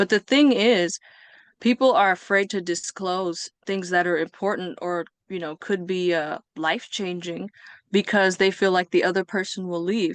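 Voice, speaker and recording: The woman has an unremarkable speaking voice, medium in pitch, with an American accent, a moderate pace and fairly even intonation. The sound is dry and close with no echo, and the background is quiet. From US West Coast (Bay Area, California). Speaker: podcast guest. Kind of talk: interview.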